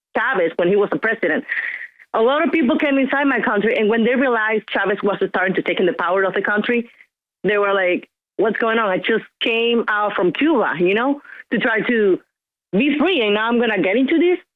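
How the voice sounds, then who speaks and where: Fairly quick and with a Venezuelan accent, a woman speaks at a fairly high pitch with lively intonation and very even loudness. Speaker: caller. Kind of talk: call-in talk radio.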